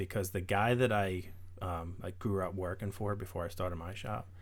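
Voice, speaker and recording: A man with an American accent talks at a fairly quick pace, his fairly low voice keeping fairly even intonation. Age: 30s. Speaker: car builder and small business owner. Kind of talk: casual chat. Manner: reserved, methodical.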